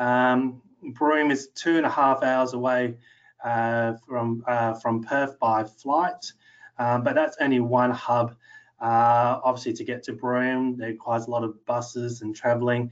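A man at a fairly slow pace, monotone and flat in intonation, against a quiet background. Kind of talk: lecture. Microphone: webcam.

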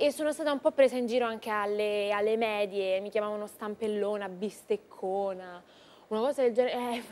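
A woman at a fairly high pitch, fairly quick, with ordinary pitch variation. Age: 20s. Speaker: singer and actress; guest singer-actress. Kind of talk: TV interview. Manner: halting. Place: studio.

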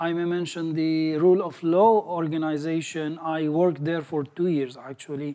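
Dark and mellow in tone, the voice moves at a moderate pace with hardly any pauses. Intonation stays fairly even over a quiet background. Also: man, fairly high pitch for a man. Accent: Arabic. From Syria. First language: Arabic. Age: 40s. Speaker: graduate and entrepreneur. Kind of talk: personal success story talk. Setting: stage with audience. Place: home room. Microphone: lapel.

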